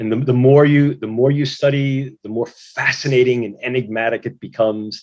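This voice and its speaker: With an American accent, a man talks at a medium pitch with ordinary pitch variation in a plain, everyday voice. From US, New York City. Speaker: neuroscience researcher, moderator. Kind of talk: moderated video-call discussion.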